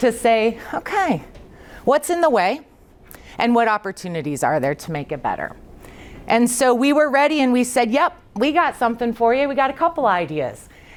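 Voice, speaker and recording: Using vocal fry, a woman with a fairly high pitch talks at a moderate pace through very wide pitch swings. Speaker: state early childhood official, presenter. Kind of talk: conference presentation.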